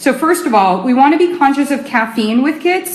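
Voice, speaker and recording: Noticeable background noise and audible room echo surround a woman speaking. Her intonation is lively and her pace fairly quick. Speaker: nutrition expert. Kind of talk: live stream talk. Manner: fast.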